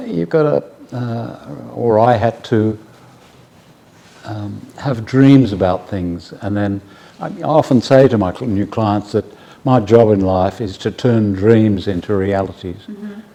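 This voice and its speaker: A man with an Australian accent speaks at a very slow pace in a fairly low pitch, with noticeable background noise behind him. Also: ordinary pitch variation. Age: 70s. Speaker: bespoke tailor. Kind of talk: interview answer.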